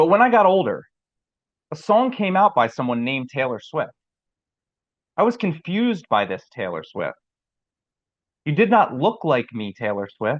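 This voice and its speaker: Using vocal fry and very wide pitch swings, a man with an American accent and fairly high pitch speaks at a moderate pace with long, frequent pauses in a dry, close sound with no echo. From New Jersey. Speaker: poet. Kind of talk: poetry reading.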